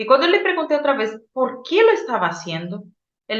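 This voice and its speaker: In a Brazilian accent, a woman speaks at a moderate pace with audible room echo. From Brazil, Boa Vista. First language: Portuguese (speaking Spanish). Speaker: psychologist and oral storyteller. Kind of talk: interview storytelling.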